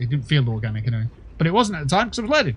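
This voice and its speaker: A man with a British accent speaks in a somewhat breathy voice at a medium pitch. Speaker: gaming streamer. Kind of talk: casual chat. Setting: livestream.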